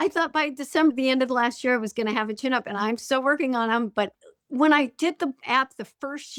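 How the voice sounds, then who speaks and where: Captured as a very clean recording with a silent background, a woman's high-pitched voice moves at a fairly quick pace in a dry, close sound with no echo. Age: 50s. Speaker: high school teacher and fitness app member. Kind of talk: interview conversation. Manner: halting, repeats words.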